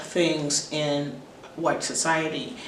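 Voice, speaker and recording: An American accent over noticeable background noise. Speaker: YouTuber and instructor. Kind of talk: educational monologue to camera. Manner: formal.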